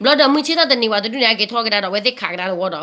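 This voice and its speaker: Lively intonation from a woman with a fairly high pitch. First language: Karen. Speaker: community news presenter. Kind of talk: news talk to community.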